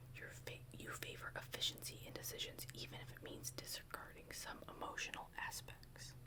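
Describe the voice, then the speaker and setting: Someone whispers at a moderate pace with hardly any pauses over noticeable background noise. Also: woman. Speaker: ASMR creator. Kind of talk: ASMR roleplay, personality test reading. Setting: close-mic studio. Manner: soft-spoken, whispering, calming.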